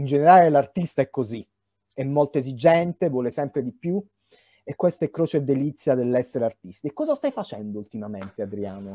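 Set against a quiet background, a man's fairly high voice carries a dark, mellow tone at a fairly quick pace. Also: lively intonation, dry sound with no echo. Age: young. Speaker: interviewer and film director; interviewer. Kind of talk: interview. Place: home room. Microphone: video call.

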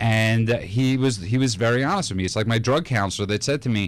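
Dry, with no echo, a man's voice races along at a very fast pace. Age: 30s. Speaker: radio host; radio show host. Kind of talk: casual chat. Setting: studio. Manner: joking. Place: studio. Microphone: studio mic.

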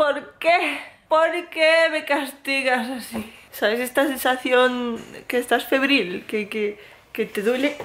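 The voice is whiny and moves at a very slow pace. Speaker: vlogger. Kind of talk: casual vlog chat. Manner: weak, whiny feverish complaining voice. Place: home room. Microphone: phone near.

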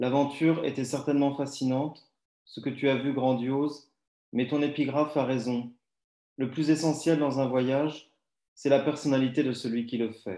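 A man speaks at a moderate pace in a flat monotone, with a dark, mellow tone and long, frequent pauses. The room echo is audible, while the background stays quiet. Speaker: writer; poetry reader. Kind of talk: reading aloud. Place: home room. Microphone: too quiet; video call.

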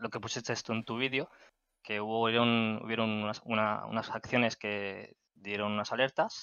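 A man at a moderate pace over a quiet background. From Spain, Catalonia (Barcelona area). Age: 30s. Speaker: gaming community moderator. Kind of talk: casual interview. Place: home room.

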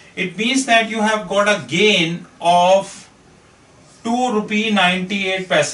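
Ordinary pitch variation with audible room echo. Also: man. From India. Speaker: finance consultant; finance trainer. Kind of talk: lecture. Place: classroom. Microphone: camera far.

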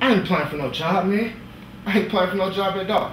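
Very fast and high in pitch, a man talks with fairly even intonation. Audible room echo and light background noise surround him. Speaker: actor performing a monologue. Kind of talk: dramatic monologue. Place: stage.

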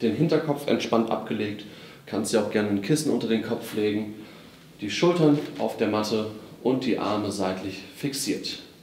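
A man at a fairly low pitch and moderate pace, ordinary pitch variation, light background noise and audible room echo. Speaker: physiotherapy exercise instructor. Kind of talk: tutorial. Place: gym.

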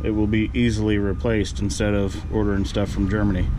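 Noticeable background noise runs under a man talking at a moderate pace. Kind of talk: tutorial. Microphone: phone near.

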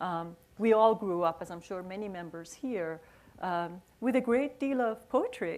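A woman's loudness swings widely as she talks with lively intonation. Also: fairly slow pace. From Iran. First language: Persian. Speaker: author and poet. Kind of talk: onstage conversation. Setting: stage with audience. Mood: reflective, nostalgic. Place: stage.

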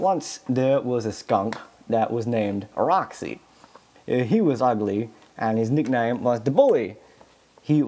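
Lively intonation in an unforced reading voice

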